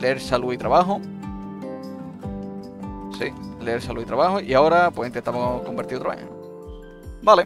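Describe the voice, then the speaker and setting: With music in the background, a man speaks at a moderate pace and a medium pitch, in an Andalusian accent. His pitch swings very widely. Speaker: gaming content creator. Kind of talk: casual gameplay commentary.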